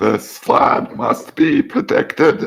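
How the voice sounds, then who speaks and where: A man speaks in a put-on character voice pitched extremely high. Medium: actual play. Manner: solemn, ritualistic.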